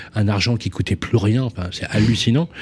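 A dark, mellow tone carries speech delivered at a fairly quick pace. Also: man. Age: old. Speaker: radio co-host. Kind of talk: radio interview.

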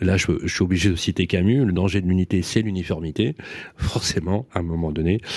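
A man's very deep, low pitch at a fairly quick pace, on a very clean recording with a silent background. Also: ordinary pitch variation. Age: older than 47. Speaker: radio host. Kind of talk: interview. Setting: studio.

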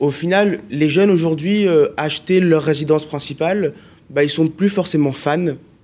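Using an ordinary speaking voice, a man talks at a moderate pace in a fairly high pitch, with ordinary pitch variation and very even loudness. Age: 20s. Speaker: student radio host. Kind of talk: casual interview; role play.

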